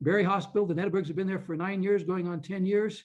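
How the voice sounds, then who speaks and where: Fairly even intonation from a man, quiet background behind him. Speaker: physician and health ministry leader. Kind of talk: conference presentation. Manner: fast.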